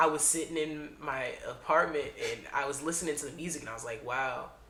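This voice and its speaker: A man's fairly high-pitched voice over noticeable background noise. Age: young. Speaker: singer, actor and comedian. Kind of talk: interview answer. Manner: casual.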